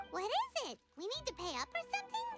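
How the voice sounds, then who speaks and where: A put-on character voice, extremely high and squeaky, with very wide pitch swings, a fairly quick pace and faint music in the background. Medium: video game. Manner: bubbly, fast.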